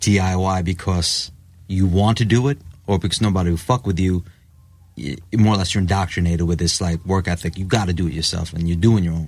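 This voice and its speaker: A man with a New York accent speaks at a very deep, low pitch with fairly even intonation. The recording is very clean, with a silent background. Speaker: rock musician. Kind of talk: casual chat.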